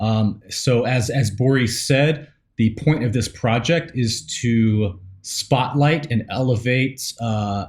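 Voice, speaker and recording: A man with an American accent, medium-pitched and somewhat breathy, speaking very slowly with ordinary pitch variation, in a very clean recording with a silent background. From US South, East Tennessee / Nashville. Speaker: podcast co-host. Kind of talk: casual chat. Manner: halting, many fillers.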